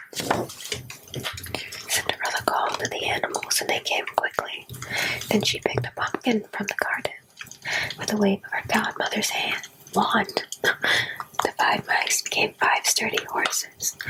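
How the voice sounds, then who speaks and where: Noticeable background noise runs beneath someone whispering at a fairly slow speed. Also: woman. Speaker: ASMR creator. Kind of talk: ASMR bedtime story reading. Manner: whispered, soft-spoken.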